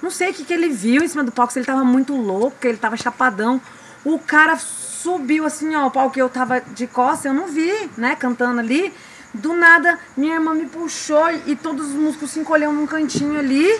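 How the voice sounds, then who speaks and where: Amid noticeable background noise, a woman speaks at a fairly quick pace and a high pitch with ordinary pitch variation. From Mato Grosso do Sul, Brazil. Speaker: singer. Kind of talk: interview conversation. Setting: recording with small audience.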